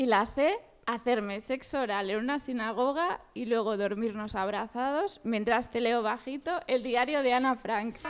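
Speaking fairly slowly with hardly any pauses, a woman uses a fairly high pitch and ordinary pitch variation. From Catalonia, Sabadell. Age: 30s. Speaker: dating-game contestant on comedy podcast. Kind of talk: casual comedic chat.

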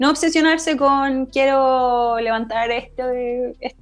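With music in the background, a woman talks in a high pitch at a very slow pace with fairly even intonation. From northern Chile, Arica. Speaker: climbing instructor. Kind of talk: casual chat.

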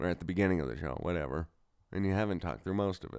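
A man at a very fast pace, his pitch very deep and low. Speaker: podcast host. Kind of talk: casual chat. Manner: animated.

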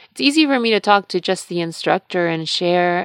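In a very clean recording with a silent background and a dry, close sound with no echo, a woman with a normal speaking voice talks at a moderate pace and a fairly low pitch. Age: 30s. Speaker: podcast host and yoga instructor. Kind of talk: solo monologue podcast.

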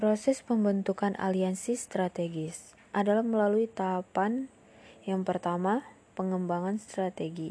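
The voice has a dark, mellow tone. It moves at a fairly slow pace with fairly even intonation. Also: woman, medium pitch for a woman. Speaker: university student. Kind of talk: class presentation. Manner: formal.

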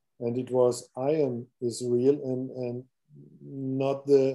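With a German accent, a man talks at a medium pitch. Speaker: podcast host. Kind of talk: interview. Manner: halting.

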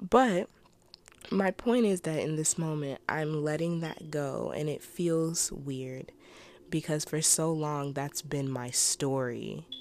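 Very slowly and at a very deep, low pitch, a woman speaks with ordinary pitch variation in a very clean recording with a silent background. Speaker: solo podcast host. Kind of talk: casual personal monologue. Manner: halting, trips over words.

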